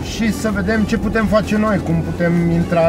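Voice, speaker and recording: A man speaks at a fairly slow pace over background music, the sound dry with no echo. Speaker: vlogger driving. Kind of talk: casual vlog chat. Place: car. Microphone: phone near.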